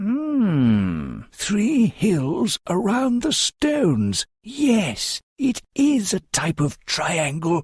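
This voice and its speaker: A man's put-on character voice, high-pitched and very slow, with very wide pitch swings, very even loudness and hardly any pauses, in a dry, close sound with no echo. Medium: read story. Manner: earnest, thoughtful.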